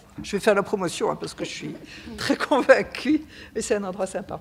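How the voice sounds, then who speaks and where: A woman's somewhat breathy voice, very fast, with lively intonation. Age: 70s. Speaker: association vice-president, retiree. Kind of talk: panel talk at a public session. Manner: hesitant, many fillers.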